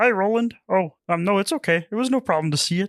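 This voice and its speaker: In a very clean recording with a silent background, a put-on character voice at a middle pitch speaks at a fairly quick pace. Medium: actual play. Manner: soft, hesitant, halting.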